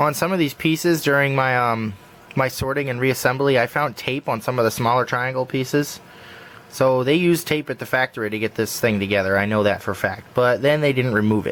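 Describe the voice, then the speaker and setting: This man has an unremarkable speaking voice, medium in pitch with ordinary pitch variation, and he talks at a fairly quick pace. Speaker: puzzle hobbyist tutorial maker. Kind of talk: tutorial. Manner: casual, relaxed.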